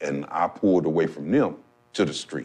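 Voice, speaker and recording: A man at a moderate pace. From Missouri, Saint Louis. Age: 60s. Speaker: formerly incarcerated person. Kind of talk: testimony.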